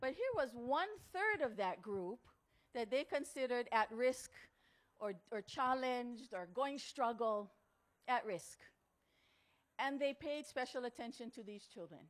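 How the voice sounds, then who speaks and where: A woman with a Hawaiian accent speaks at a high pitch with lively intonation. Her pace is fairly slow, with long, frequent pauses. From Hawaii, Kauai. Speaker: motivational speaker. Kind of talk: talk to an audience. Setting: outdoor tent with audience.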